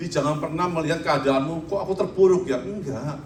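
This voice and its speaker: A man with a fairly high pitch speaks at a fairly quick pace with ordinary pitch variation, over noticeable background noise and audible room echo. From Indonesia, Surabaya (East Java). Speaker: pastor. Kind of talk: sermon.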